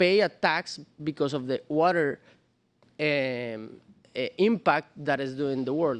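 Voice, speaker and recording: Against a quiet background, a man speaks at a moderate pace with ordinary pitch variation, the sound dry and close with no echo. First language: not English. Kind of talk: panel discussion.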